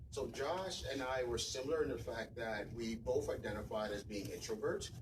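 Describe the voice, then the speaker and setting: The speaker is a man. Room echo is audible around him. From West Africa. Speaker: tech professional, event speaker. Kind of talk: conference talk. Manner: soft-spoken.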